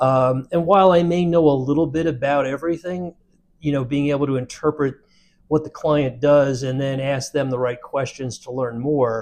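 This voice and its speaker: An ordinary speaking voice talks at a moderate pace with fairly even intonation. The background is quiet. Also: man. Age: 60s. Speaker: insurance brokerage CEO. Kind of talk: interview.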